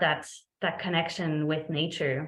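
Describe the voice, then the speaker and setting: A woman talks with a French Canadian accent. Audible room echo surrounds her voice. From Quebec, Montreal. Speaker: veterinarian. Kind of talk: presentation. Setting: video call. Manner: frequent fillers (um).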